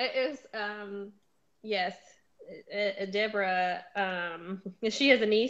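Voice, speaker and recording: A woman with a Southern US accent at a medium pitch, against a quiet background. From US South. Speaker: book show host. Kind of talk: casual chat.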